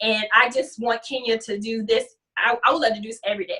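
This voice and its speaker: A very fast-paced woman with a fairly high pitch, a bright, sharp tone and fairly even intonation. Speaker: natural hair guest presenter, model. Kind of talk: hair tutorial.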